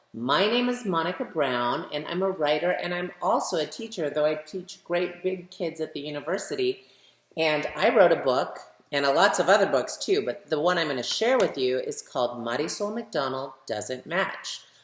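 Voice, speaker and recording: A woman's fairly low voice with warm tone and lively intonation, at a moderate pace, over noticeable background noise. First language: bilingual English and Spanish. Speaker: children's author reading her book. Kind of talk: story time reading aloud for children. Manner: warm, addressing children directly.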